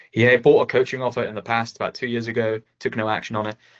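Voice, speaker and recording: A man talks at a very fast pace with an English accent. His pitch sits in the medium range. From England. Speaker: sales closer, coaching student. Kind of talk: casual chat reviewing a sales call; sales call.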